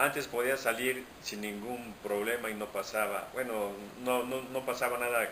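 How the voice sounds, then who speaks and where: Audible room echo and noticeable background noise surround the recording. A man speaks at a moderate pace and medium pitch with monotone, flat intonation. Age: 60s. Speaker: interviewee. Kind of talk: interview.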